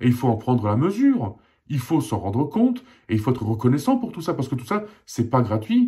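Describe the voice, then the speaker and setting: Medium-pitched and somewhat breathy, a man's voice has a dark, mellow tone. He speaks at a fairly quick pace with lively intonation. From Alsace, eastern France (born in Poland, arrived as a child). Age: 40s. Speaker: independent journalist. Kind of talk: personal opinion monologue. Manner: impassioned, repetitive emphasis.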